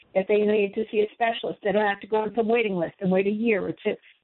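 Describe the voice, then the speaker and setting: A normal speaking voice with an American accent talks at a fairly quick pace with fairly even intonation. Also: woman. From Boston. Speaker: caller. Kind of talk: call-in talk radio. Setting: phone call.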